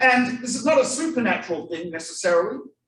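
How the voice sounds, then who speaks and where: This man speaks with an Australian accent. Audible room echo surrounds his voice. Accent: foreign accent (Australian). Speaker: rabbi, guest lecturer. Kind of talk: lecture to a live audience. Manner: animated storytelling.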